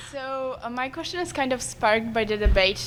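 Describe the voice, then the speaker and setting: Moderate-paced speech from a woman over background music. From Poland. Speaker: audience member asking a question. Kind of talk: audience question at panel. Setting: convention panel with audience.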